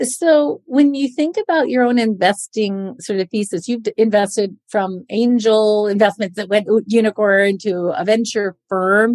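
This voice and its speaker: With a normal speaking voice, a woman speaks fairly slowly in a fairly high pitch with ordinary pitch variation, recorded dry and close with no echo. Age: 50s. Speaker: podcast host and investor. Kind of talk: scripted intro; interview.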